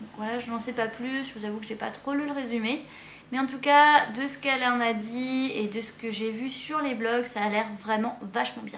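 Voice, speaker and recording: A woman with a high-pitched voice talks at a moderate pace and with fairly even intonation, her words carrying an audible room echo. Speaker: book youtuber. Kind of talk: casual book haul video. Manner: hesitant with fillers.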